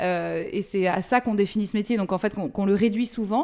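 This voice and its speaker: The speech has a moderate pace and ordinary pitch variation, captured in a very clean recording with a silent background. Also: woman. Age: 40s. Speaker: film script supervisor. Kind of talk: interview. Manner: halting, many hesitations.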